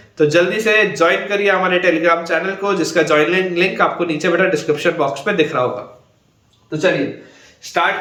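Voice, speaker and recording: A man speaks at a high pitch with fairly even intonation. The room echo is audible. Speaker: online math teacher. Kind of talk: lecture.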